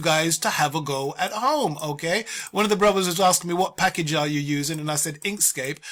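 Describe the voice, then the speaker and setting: Hardly any pauses break up this man's speech in a British accent. His voice is high-pitched with a bright, sharp tone and lively intonation. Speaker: art tutorial teacher. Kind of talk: tutorial. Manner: fast; casual.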